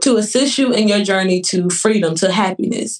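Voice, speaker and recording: A woman speaks in a plain, everyday voice at a fairly high pitch and moderate pace, with ordinary pitch variation. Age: 20s. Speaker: nurse and author. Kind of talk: casual interview chat.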